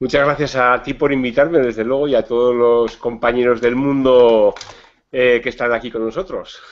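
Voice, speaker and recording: Using an ordinary speaking voice, a man holds a medium pitch and fairly even intonation at a moderate pace. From Spain, Navarra (Pamplona). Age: 50s. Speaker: psychologist and diabetes educator. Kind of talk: video chat interview. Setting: video call.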